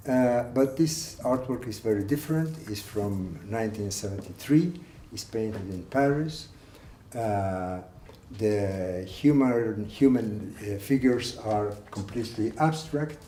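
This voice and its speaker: A man with a Spanish accent speaks fairly slowly at a medium pitch, his tone dark, mellow and somewhat breathy. His intonation is lively, his loudness swings widely, and the room echo is audible. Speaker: art collector. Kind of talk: guided tour. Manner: halting.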